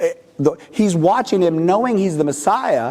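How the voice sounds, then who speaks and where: The speaker has a West Coast accent and very wide pitch swings. Noticeable background noise is present. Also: man. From California, US. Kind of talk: talk to a parish audience. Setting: church with live audience. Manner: usually loud, quieter today.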